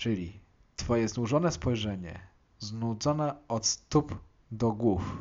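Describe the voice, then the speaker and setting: A man's medium-pitched voice shows ordinary pitch variation and moves at a very slow pace. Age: 20s. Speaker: podcast host discussing music. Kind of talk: monologue song analysis.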